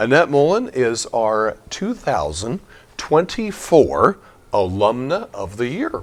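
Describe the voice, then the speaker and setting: A quiet man talks at a very slow pace. His pitch swings very widely. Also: medium pitch for a man. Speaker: parish priest. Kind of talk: casual interview. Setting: inside a school. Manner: quiet indoor voice.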